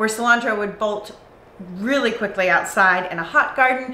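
A woman's voice with ordinary pitch variation and audible room echo. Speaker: channel host. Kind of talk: tutorial. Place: garage.

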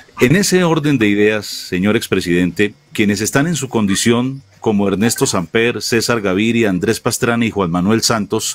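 Noticeable background noise sits behind a man with a fairly low voice. He talks at a moderate pace with ordinary pitch variation. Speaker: interviewer, show host. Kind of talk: political interview.

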